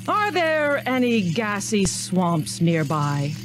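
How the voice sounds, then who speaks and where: A booming put-on character voice at middle pitch and a very slow pace, over loud music in the background. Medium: read story. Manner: commanding, booming.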